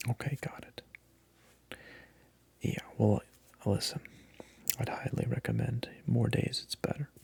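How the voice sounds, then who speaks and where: Whispering at a very slow pace, a man leaves long, frequent pauses. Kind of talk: ASMR role play as a personal trainer, casual talk to camera. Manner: soft-spoken.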